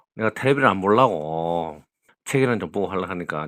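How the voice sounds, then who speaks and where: His pitch fairly low, a man talks with very wide pitch swings. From Gyeongsang region, South Korea. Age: 60s. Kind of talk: casual phone conversation.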